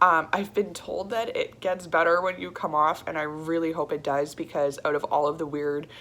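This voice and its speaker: A woman speaks at a moderate pace with hardly any pauses, her fairly low pitch carrying a bright, sharp tone and fairly even intonation. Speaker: vlogger. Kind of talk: personal video diary. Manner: halting; casual.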